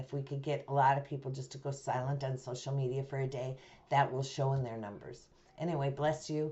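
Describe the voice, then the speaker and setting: A woman with an American accent speaks at a fairly quick pace. Her voice is very deep for a woman and somewhat breathy. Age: 60s. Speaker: activist nun and cannabis business owner. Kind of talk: video monologue, call to action.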